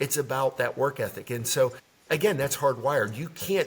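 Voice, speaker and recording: Medium pitch marks this man's voice. A somewhat breathy quality runs through it. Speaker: leadership development consultant. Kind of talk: interview. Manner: fast.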